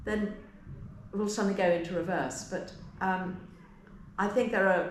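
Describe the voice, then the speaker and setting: Noticeable background noise and audible room echo. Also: woman. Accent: English. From England. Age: 70s. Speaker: historian. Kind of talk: interview.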